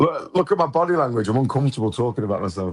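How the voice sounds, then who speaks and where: Talking very fast, a man uses very wide pitch swings. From England. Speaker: podcast host, guest. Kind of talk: casual chat. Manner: animated, halting with repetitions.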